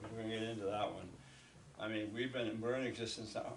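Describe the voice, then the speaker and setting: Amid noticeable background noise and audible room echo, a man speaks in a flat monotone at a medium pitch. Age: 60s. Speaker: local TV host. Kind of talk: casual interview.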